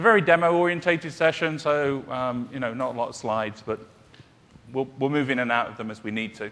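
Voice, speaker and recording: A man with a British accent talks at a very fast pace, his pitch in the medium range. His volume swings widely between loud and soft, and his intonation is lively. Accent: British, sometimes mistaken for Australian. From UK. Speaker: solution architect, conference presenter. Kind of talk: technical conference presentation. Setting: conference session room with audience. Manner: hesitant with frequent fillers.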